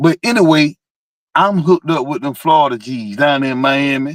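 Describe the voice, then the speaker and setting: A man with a Georgia accent talks at a fairly quick pace. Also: very clean recording, silent background. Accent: Southern US, Georgia. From US South, South Georgia. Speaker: car enthusiast. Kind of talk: casual chat. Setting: live stream. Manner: animated.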